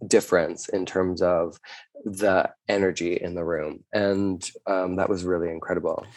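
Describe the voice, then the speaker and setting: A man with a Canadian accent, an ordinary speaking voice, fairly low pitch and a moderate pace. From Canada. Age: 30s. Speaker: drag performer. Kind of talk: casual chat.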